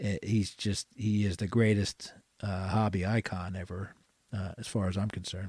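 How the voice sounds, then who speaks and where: A man with an American accent, fairly low-pitched and somewhat breathy, at a moderate pace with monotone, flat intonation. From Philadelphia, US. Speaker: card collector and card show organizer. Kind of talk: casual interview chat.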